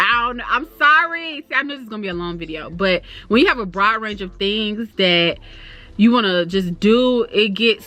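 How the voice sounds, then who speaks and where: With music in the background, a woman in a Florida accent speaks in an animated tone at a fairly high pitch, her loudness swinging widely. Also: lively intonation. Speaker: YouTuber. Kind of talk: casual chat. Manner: fast.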